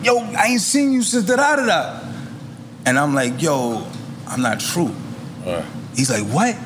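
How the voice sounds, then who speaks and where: A man with a New York accent, high-pitched, with very wide pitch swings and long, frequent pauses, at a fairly slow pace, amid noticeable background noise and audible room echo. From Queens, New York. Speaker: rapper. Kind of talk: casual chat.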